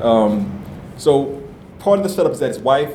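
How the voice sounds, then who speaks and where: Pitched in the middle range, a man's voice varies normally in pitch as audible room echo and noticeable background noise surround it. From New Orleans. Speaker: novelist. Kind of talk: author interview before live audience.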